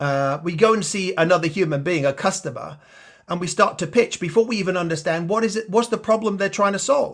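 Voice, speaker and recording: A man with a slight Australian accent talks at a fairly quick pace and a high pitch, with ordinary pitch variation. The background is quiet. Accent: slight Australian twang. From Yorkshire, England. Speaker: sales enablement leader. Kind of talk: interview.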